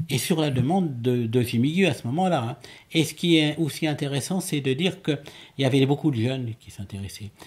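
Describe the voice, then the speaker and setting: A man talks at a fairly quick pace, his voice somewhat breathy. His pitch varies in an ordinary way while his loudness swings widely. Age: 70s. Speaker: amateur astronomer and ufologist. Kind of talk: interview. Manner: halting, many repetitions and hesitations.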